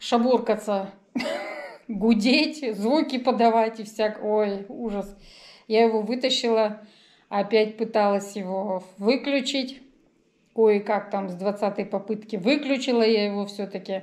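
A woman at a very slow pace with long, frequent pauses and fairly even intonation, against a quiet background. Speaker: vlogger. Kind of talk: casual vlog chat. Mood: wry, resigned storytelling. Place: home room. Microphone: phone near.

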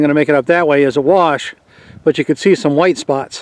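The voice keeps a moderate pace and ordinary pitch variation, with a dry sound and no echo. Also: man. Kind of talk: casual vlog narration. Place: open country. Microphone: phone near.

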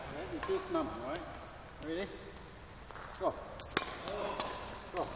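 A man talks at a slow pace in an extremely high pitch, with big pitch swings and vocal fry over clear background noise.

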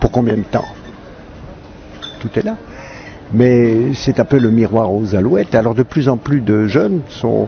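A man speaks at a very slow pace, leaving long, frequent pauses, with ordinary pitch variation. The sound is dry with no echo, with light background noise. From Switzerland. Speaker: actor and comedian. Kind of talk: interview answer. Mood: reflective, wry. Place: garden. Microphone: handheld.

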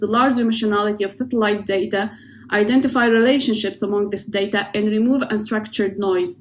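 This woman's somewhat breathy voice moves at a fairly quick pace with fairly even intonation. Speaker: oceanographer. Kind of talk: prerecorded presentation. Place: home room. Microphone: webcam.

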